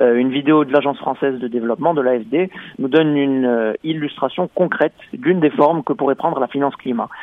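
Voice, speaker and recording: Speaking at a fairly quick pace, a man uses a fairly high pitch with ordinary pitch variation. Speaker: radio correspondent. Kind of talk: radio report.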